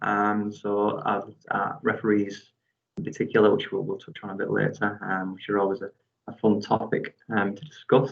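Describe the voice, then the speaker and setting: A man with fairly low pitch, fairly even intonation, and big swings in loudness. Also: moderate pace. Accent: northeast English. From northeast England. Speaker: PhD researcher and football referee. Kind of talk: academic seminar talk. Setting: video call.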